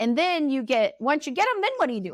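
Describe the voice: A woman at a high pitch and fast pace, with big pitch swings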